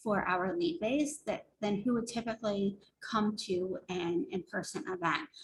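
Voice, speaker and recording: Somewhat breathy and with lively intonation, a woman speaks at a fairly slow pace. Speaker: marketing consultant. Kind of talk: webinar presentation.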